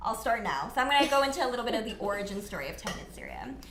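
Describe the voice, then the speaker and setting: A woman with a Canadian accent and a fairly high pitch, amid audible room echo and noticeable background noise. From Canada, Mississauga, Ontario. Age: 20s. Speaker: non-profit founder. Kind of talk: casual interview. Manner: casual, many fillers.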